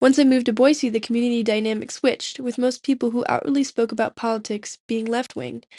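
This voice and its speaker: A woman with an American accent talks very fast in a dark, mellow tone, at a fairly high pitch and with fairly even intonation. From Eastern Oregon, US. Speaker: student documentary maker. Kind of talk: scripted narration.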